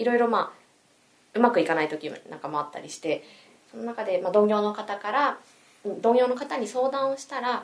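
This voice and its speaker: A woman with a fairly high pitch talks at a fairly quick pace with lively intonation, big swings in loudness, and long, frequent pauses. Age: 30s. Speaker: salesperson. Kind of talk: casual chat.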